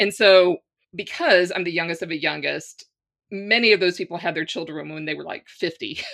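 With an American accent and vocal fry, the speaker talks at a fairly quick pace with fairly even intonation and big swings in loudness. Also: woman, fairly low pitch for a woman. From US South, Louisiana. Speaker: spiritual teacher and coach. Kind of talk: casual interview conversation.

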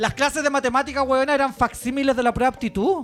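An animated tone marks this man's speech. He talks with a Chilean accent. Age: 40s. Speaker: podcast host. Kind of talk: casual chat. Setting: live show in a bar with audience.

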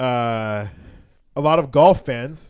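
A man is speaking. His voice is loud. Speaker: comedian. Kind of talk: casual chat.

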